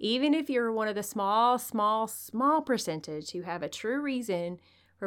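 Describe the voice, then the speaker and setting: The voice has lively intonation and an animated tone at a moderate pace, in a very clean recording with a silent background. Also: woman. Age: 40s. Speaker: podcast host and nurse-midwife. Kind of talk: motivational solo podcast talk.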